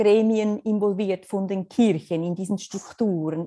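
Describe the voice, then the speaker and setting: A woman with a dark, mellow tone speaks at a moderate pace, her pitch varying in an ordinary way. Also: very clean recording, silent background. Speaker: missionary. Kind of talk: interview.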